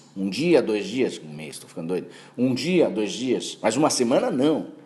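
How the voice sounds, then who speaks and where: At a moderate pace, a man speaks in a medium pitch with a dark, mellow tone, lively intonation and audible room echo. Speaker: law professor. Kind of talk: lecture.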